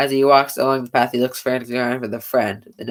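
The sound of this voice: Reading in an unforced voice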